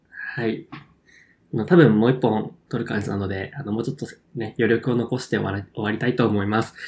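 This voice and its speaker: The man's voice sits at medium pitch and sounds somewhat breathy. He moves at a fairly quick pace with ordinary pitch variation. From Kyushu, Japan. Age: 20s. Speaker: podcast co-host. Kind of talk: casual chat.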